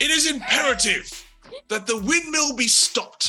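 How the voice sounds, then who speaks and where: Someone shouts in a put-on character voice at a moderate pace. Music plays in the background. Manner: shouting commands, agitated.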